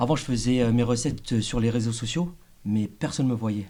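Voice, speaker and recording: Recorded very cleanly against a silent background, a man speaks at a medium pitch with fairly even intonation. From France, Laotian family. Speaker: chef. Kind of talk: interview, casual chat. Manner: hesitant, shaky voice.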